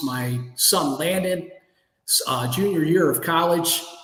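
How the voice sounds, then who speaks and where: A man with an American accent speaks at a fairly high pitch, his pitch varying in an ordinary way, with audible echo in the room. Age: 60s. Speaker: entrepreneur. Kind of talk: interview.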